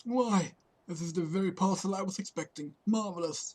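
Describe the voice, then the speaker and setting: A man's strained, put-on character voice at a moderate pace. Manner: pompous.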